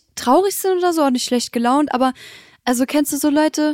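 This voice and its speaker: A woman's dark, mellow tone carries ordinary pitch variation in a dry, close sound with no echo. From Germany, Bitburg area (Eifel). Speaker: social media agency employee. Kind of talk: casual chat.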